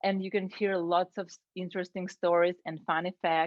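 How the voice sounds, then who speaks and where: At a fairly slow pace, a woman speaks at medium pitch in a Ukrainian accent. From Ukraine. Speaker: Toastmasters club member. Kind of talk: prepared speech.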